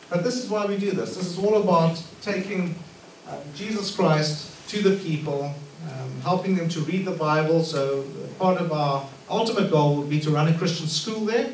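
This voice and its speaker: In a South African accent, a man talks at a moderate pace with a high pitch and ordinary variation, amid audible room echo and noticeable background noise. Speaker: missionary and author. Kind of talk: church talk / presentation; Q&A answer.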